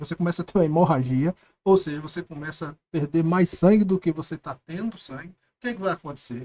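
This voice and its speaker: Here a man talks at a fairly quick pace with a high pitch. The recording sounds dry and close, with no echo. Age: 60s. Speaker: business consultant and professor. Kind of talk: interview.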